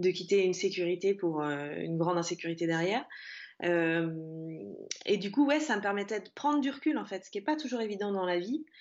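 The delivery is fairly quick in pace, with lively intonation. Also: woman. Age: 30s. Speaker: freelance social media manager and podcaster. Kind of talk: casual interview.

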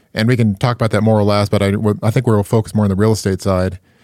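Very fast speech from a man with a fairly low pitch and fairly even intonation, dry and close with no echo. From Alaska. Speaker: real estate investor. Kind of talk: casual interview. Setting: video call.

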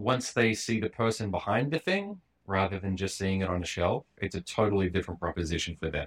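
In a very clean recording with a silent background, a man with an Australian accent speaks in a very deep, low voice. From Western Australia, Perth. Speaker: cartoonist and comedian. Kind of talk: casual chat.

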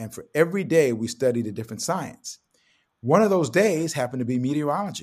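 A man at a very fast pace and fairly high pitch, with very wide pitch swings and big swings in loudness. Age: 70s. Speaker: TV meteorologist and sportscaster. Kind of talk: casual interview. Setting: video call.

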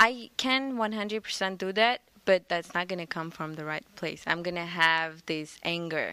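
This very clean recording with a silent background has a woman speaking in a bright, sharp tone with ordinary pitch variation. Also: fairly low pitch for a woman, big swings in loudness. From Armenia. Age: young. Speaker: congregation member. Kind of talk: casual discussion. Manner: halting.

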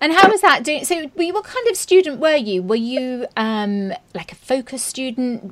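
A woman with a British accent speaks in a warm, enthusiastic tone at a high pitch. Her very wide pitch swings flow with hardly any pauses. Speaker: podcast host, journalist turned author. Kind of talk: interview.

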